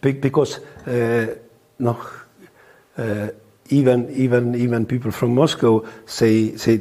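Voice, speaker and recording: Speaking very slowly in an Estonian accent, a man keeps a medium pitch and monotone, flat intonation, with long, frequent pauses. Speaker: lawyer. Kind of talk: interview testimony. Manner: hesitant, halting.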